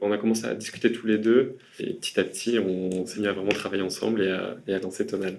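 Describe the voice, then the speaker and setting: Speaking at a fairly quick pace, a man uses a fairly low pitch in a monotone, flat intonation. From France, Burgundy. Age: 30s. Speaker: architect. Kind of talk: interview. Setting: meeting room.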